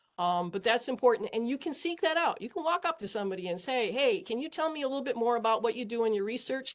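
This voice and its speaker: A woman's fairly high voice at a very fast pace, with lively intonation over a quiet background. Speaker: engineer panelist. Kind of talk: panel discussion.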